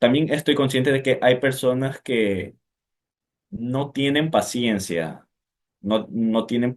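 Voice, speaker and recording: A man talks very slowly, with ordinary pitch variation. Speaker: person who stutters. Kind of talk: interview. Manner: halting.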